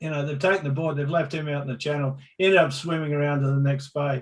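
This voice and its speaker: A man with an Australian accent speaks at a fairly high pitch, his voice somewhat breathy. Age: 60s. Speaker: pro surfer and surf reporter. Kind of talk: casual interview storytelling.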